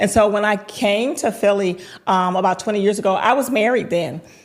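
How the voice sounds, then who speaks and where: A woman with a Southern US accent talks at a fairly quick pace over noticeable background noise. Her medium pitch has ordinary variation. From US South, High Point, North Carolina. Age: 50s. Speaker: entrepreneur. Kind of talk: podcast interview. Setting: podcast recording.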